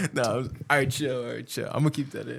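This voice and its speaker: A man's somewhat breathy, medium-pitched voice with fairly even intonation at a fairly quick pace. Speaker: podcast co-host. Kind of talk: casual chat. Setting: home studio.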